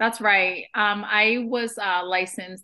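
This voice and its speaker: A woman speaks at a fairly slow pace in a Boston accent. Her intonation stays fairly even. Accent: American English, Boston area. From Vietnam, moved to Boston area at nine. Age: 30s. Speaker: real estate investor and agent. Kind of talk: podcast interview.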